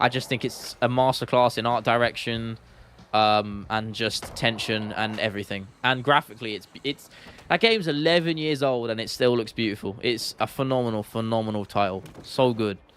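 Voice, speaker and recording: With a London accent, a man speaks at a medium pitch and with ordinary pitch variation. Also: moderate pace. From London, England. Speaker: gaming streamer and YouTuber. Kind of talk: casual live-stream chat. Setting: live stream. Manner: animated, chatty with frequent fillers.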